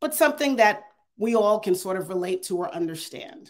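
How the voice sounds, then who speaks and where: With a quiet background, a woman speaks at a moderate pace. Her pitch swings very widely. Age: 50s. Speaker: AI consultant and adjunct professor; adjunct professor. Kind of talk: keynote talk with Q&A. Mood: earnest, persuasive. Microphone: earbuds.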